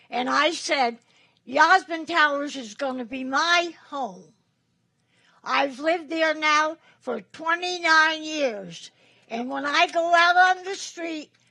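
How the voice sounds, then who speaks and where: A woman's raised, projected voice, high in pitch with a bright, sharp tone, very slow, with ordinary pitch variation and big swings in loudness. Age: 90s. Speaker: resident speaking at public comment. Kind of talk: public comment at legislative meeting. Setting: legislative chamber.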